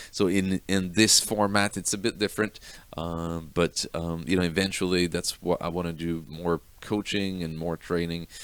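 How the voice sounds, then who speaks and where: Over a very clean recording with a silent background, a man speaks at a moderate pace in a very deep, low pitch with fairly even intonation. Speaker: web design coach. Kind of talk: course promo talk. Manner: halting, many fillers.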